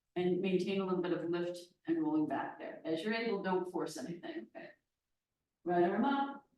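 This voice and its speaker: Amid audible room echo, a woman with a medium pitch speaks at a moderate pace with lively intonation, long, frequent pauses and big swings in loudness. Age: 60s. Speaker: yoga teacher. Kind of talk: guided yoga class instruction.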